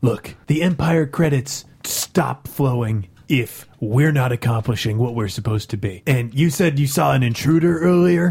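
A man puts on a character voice, pitched medium and delivered at a moderate pace. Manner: exasperated, impatient.

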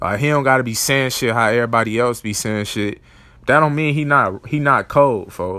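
A man's medium-pitched voice with a bright, sharp tone and an American accent. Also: ordinary pitch variation, moderate pace. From Chicago area, US Midwest. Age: 20s. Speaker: podcast host, basketball and music commentator. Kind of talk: casual solo podcast monologue. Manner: animated.

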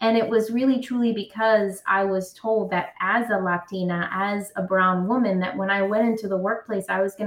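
A woman with a New York accent speaks at a moderate pace with fairly even intonation and hardly any pauses, over noticeable background noise. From New York City (Brooklyn). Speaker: career coach. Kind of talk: interview.

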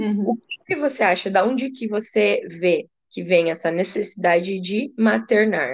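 A woman's medium-pitched voice with vocal fry, ordinary pitch variation, a fairly slow pace and hardly any pauses. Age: 30s. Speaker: podcast host, psychologist. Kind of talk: casual interview chat.

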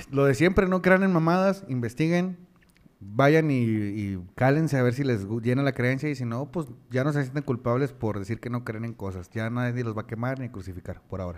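With lively intonation and a moderate pace, this man has a normal speaking voice at a medium pitch. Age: 20s. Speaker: podcast co-host. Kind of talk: casual chat. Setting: live stream.

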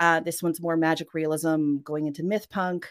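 This woman has an ordinary speaking voice, fairly low in pitch, with fairly even intonation at a moderate pace. The recording is very clean, with a silent background. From Western Canada, Norwegian family. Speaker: author. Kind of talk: interview. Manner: casual, with fillers and laughs.

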